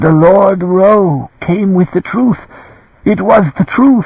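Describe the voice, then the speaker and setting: Using a put-on character voice, a man speaks at a very slow pace, hoarse and shaky, with a high pitch, ordinary pitch variation and very even loudness. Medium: read story. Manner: pleading, tearful.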